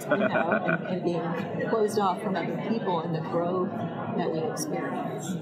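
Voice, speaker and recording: Over loud background noise, a woman speaks at a fairly slow pace with hardly any pauses. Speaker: podcast host. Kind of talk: interview question. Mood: warm, smiling. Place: booth. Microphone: lapel.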